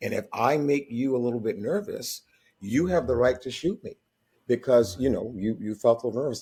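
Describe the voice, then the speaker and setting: A man talks at a moderate pace in a dark, mellow, somewhat breathy tone with lively intonation. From northeastern Massachusetts, born in North Carolina. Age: 70s. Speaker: singer-songwriter and retired teacher. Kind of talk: interview. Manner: halting, frequent repetitions.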